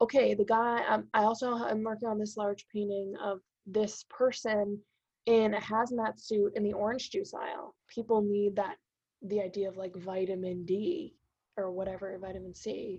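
A normal speaking voice with an American accent, fairly even intonation and a moderate pace. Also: woman, medium pitch for a woman. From Massachusetts North Shore. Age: 20s. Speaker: painter and art professor. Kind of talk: casual interview.

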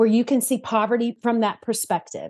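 Against a quiet background, a woman speaks with a Southern US accent at a high pitch. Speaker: church partnerships manager at a charity. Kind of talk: interview, casual conversational.

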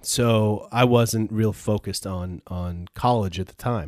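A man with a normal speaking voice and an American accent, fairly low in pitch with fairly even intonation, on a very clean, dry, close recording with no echo and a silent background. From upstate New York (Peru, NY). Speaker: entrepreneur, former school administrator. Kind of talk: casual interview chat.

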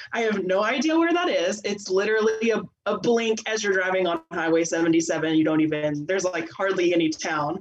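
This woman has an American accent and ordinary pitch variation. She speaks with hardly any pauses over noticeable background noise. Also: medium pitch for a woman, moderate pace. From Texas. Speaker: theatre teacher. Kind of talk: casual chat.

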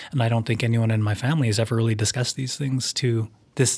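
Speaking at a very fast pace with a Canadian accent, a man uses a medium pitch, fairly even intonation and a somewhat breathy voice. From Canada, Vancouver suburb. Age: 40s. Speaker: documentary filmmaker. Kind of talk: interview. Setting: studio. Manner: halting.

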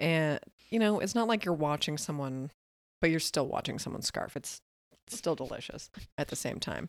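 A soft-spoken woman with a very deep, low pitch talks at a moderate pace with lively intonation and long, frequent pauses. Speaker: podcast co-host. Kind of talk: casual chat. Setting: studio.

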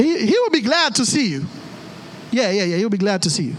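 Over noticeable background noise, a man speaks in an animated tone at a high pitch with very wide pitch swings. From Haiti. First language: Haitian Creole. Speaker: pastor. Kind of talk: sermon. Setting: church.

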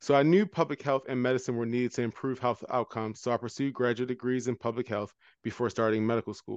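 Speaking at a very fast pace with hardly any pauses, a man with a medium pitch keeps a fairly even intonation over a quiet background, the sound dry and close with no echo. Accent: American. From Baltimore, US. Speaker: anesthesiologist, health equity medical director. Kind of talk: interview.

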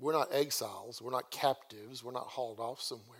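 The speaker has a Southern US accent. The pace is moderate. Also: man. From US South. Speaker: guest preacher. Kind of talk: sermon. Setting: church. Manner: casual conversational.

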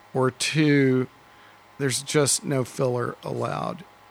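A man's medium-pitched voice with an American accent, over noticeable background noise. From Dallas, Texas. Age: 50s. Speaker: record store owner. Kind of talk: casual interview. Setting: record store.

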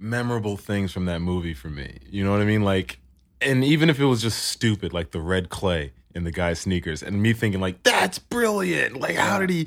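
A man's voice at a moderate pace with very wide pitch swings. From Philadelphia, US. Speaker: podcast guest. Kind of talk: casual chat. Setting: studio.

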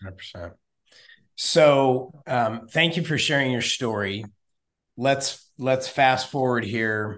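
In a Texan accent, a man of medium pitch speaks at a very slow pace. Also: ordinary pitch variation. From Texas. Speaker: podcast host. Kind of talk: interview.

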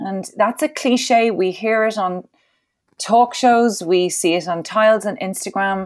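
A woman with an Irish accent speaks at a fairly high pitch in a very clean recording with a silent background. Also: ordinary pitch variation, fairly slow pace. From Ireland. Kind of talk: interview.

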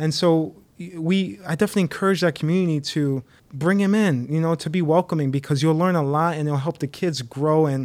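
Delivered at a fairly quick pace with an American accent, this is an unremarkable speaking voice with ordinary pitch variation on a very clean recording with a silent background. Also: man. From Connecticut, US; Haitian parents. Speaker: young adult ministry leader. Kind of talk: casual chat.

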